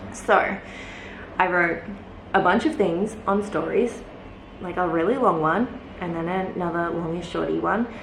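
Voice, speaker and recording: Audible room echo and noticeable background noise fill the recording. The pace is fairly slow, with long, frequent pauses and ordinary pitch variation. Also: woman, medium pitch for a woman. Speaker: lifestyle vlogger. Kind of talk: casual vlog talk. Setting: alone in a closed room at home. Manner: quieter than usual; hesitant, many fillers.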